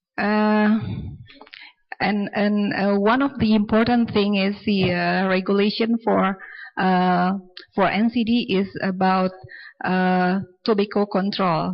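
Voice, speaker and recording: In an Indonesian accent, a woman reads at a very slow pace with long, frequent pauses. Her medium-pitched voice stays very even in loudness with fairly even intonation. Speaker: audience member asking questions. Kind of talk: Q&A question at symposium. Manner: halting, many fillers.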